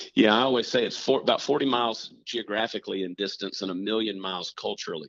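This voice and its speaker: A man with a Southern US accent, at a very fast pace with hardly any pauses and ordinary pitch variation. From US South, Augusta, Georgia. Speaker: comedian. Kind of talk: casual chat.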